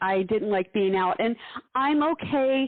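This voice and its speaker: Using a normal speaking voice, a woman with fairly high pitch talks at a fairly slow pace with lively intonation. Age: 60s. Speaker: podcast host, former nurse. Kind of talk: casual chat.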